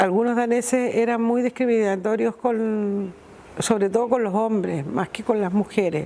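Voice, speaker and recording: A woman at a fairly slow pace, with fairly even intonation and noticeable background noise. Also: fairly high pitch for a woman. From Chile, Iquique. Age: 60s. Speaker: returned emigrant. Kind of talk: documentary interview testimony.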